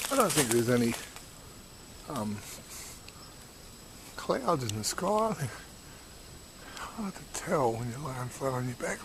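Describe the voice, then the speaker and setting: Lively intonation at a moderate pace, big swings in loudness, long, frequent pauses, and noticeable background noise. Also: man. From Australia. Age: 60s. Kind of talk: casual talk to camera. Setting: outdoors.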